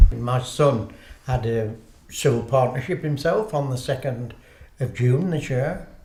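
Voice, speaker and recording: Noticeable background noise, audible room echo, and a man's fairly slow delivery. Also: big swings in loudness. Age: old. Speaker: interviewee. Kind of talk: interview.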